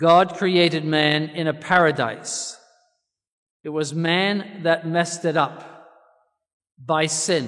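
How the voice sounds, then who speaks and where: Against a quiet background, the speaker goes at a very slow pace with fairly even intonation and long, frequent pauses. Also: man, high pitch for a man. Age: 70s. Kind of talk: sermon. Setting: church. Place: church. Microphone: podium.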